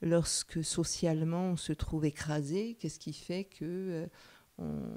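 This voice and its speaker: With a dark, mellow tone, a woman speaks at a fairly low pitch. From France, Paris suburbs (Sarcelles). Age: 60s. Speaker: psychoanalyst. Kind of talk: interview. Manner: hesitant with many fillers.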